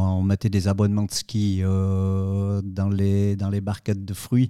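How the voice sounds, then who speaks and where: A man's fairly low, dark, mellow voice at a very slow pace, on a very clean recording with a silent background. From Switzerland, Valais (Saillon). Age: 50s. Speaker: fruit juice company director. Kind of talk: interview. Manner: hesitant, many fillers and repetitions.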